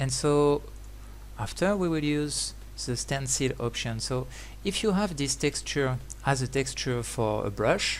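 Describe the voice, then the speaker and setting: This man has a French accent. He speaks at a fairly slow pace. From France. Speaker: 3D graphics trainer. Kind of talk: tutorial. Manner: halting, many fillers.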